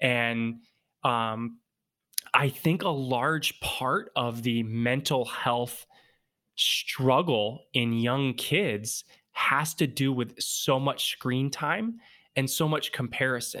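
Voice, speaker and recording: Recorded very cleanly against a silent background, a man with a bright, sharp tone speaks at a very slow pace and medium pitch, with ordinary pitch variation and very even loudness. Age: 30s. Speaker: mindset coach. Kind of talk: interview.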